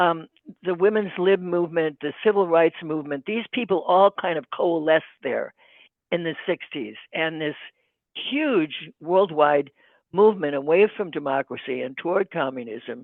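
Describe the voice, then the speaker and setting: A woman's fairly low voice in an Upper Midwest accent, with ordinary pitch variation and a moderate pace. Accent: Upper Midwest American. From US Midwest, Saint Paul, Minnesota. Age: 80s+. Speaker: podcast guest, sibling of an activist. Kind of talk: interview testimony. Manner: halting, many fillers.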